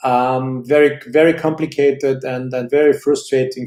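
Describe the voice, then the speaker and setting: With a German accent, a man talks in a medium pitch and monotone, flat intonation. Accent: German-speaking accent in English. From Switzerland. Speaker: watch channel host. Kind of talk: live stream chat answering viewer questions. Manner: hesitant, many fillers and repetitions; slower in English than his usual pace.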